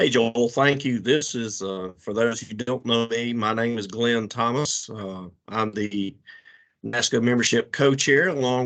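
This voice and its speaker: A man with a Southern US accent talks at a medium pitch and a fairly slow pace. His pitch varies in an ordinary way, and the background is quiet. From South Carolina. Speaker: association membership co-chair. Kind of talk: conference call announcement.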